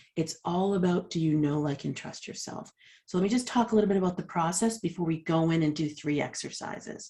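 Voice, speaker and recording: At a fairly quick pace, a woman speaks in a fairly low, dark, mellow voice that is somewhat breathy, with ordinary pitch variation. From Boston, US. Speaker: leadership coach. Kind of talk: workshop presentation. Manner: fast.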